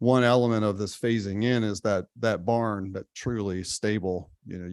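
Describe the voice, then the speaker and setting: A man's fairly low voice with fairly even intonation at a moderate pace, dry and close with no echo. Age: 60s. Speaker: brewery owner speaking at public comment. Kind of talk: public comment at township meeting. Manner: halting, many fillers.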